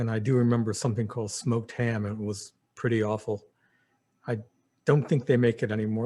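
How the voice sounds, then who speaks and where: A man's medium-pitched, somewhat breathy voice with a New Jersey accent at a fairly quick pace. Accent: American, New Jersey. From New Jersey (Princeton). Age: 60s. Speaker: memoir storyteller. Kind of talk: personal reminiscence monologue. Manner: halting, many fillers.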